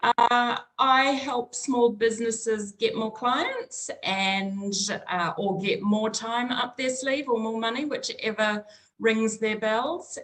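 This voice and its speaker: A woman with a New Zealand accent speaks at a fairly slow pace. Her pitch is high, with ordinary variation. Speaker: small business consultant. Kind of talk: interview conversation.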